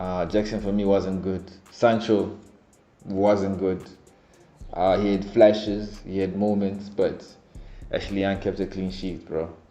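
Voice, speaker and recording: Over music in the background and audible room echo, a man with a non-native accent talks at a fairly slow pace in a fairly low pitch, using a monotone, flat intonation and long, frequent pauses. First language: not English. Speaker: football fan vlogger. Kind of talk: casual fan reaction commentary.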